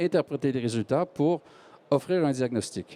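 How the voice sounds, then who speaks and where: A man with a slight Quebec accent speaks at a fairly high pitch, his tone dark and mellow, his intonation lively and his pace moderate. The recording is very clean with a silent background, and the sound is dry and close with no echo. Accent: Québécois French, slight. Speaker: medical device company executive. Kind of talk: panel discussion talk. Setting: stage with audience. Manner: halting.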